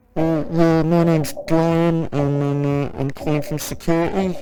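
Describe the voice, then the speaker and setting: A man's put-on character voice, fairly high in pitch with fairly even intonation and a moderate pace. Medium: audio drama. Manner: weary, sighing.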